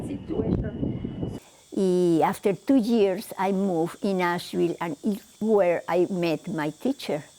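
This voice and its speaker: A woman's voice amid noticeable background noise. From Mexico City. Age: 70s. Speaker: shamanic healer. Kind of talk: interview. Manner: halting.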